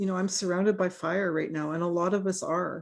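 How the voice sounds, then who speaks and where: This woman has a normal speaking voice at medium pitch, in a Canadian accent. Her moderate pace and fairly even intonation come through on a very clean recording with a silent background. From British Columbia, Canada. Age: 60s. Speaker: forest ecologist. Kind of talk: Q&A discussion.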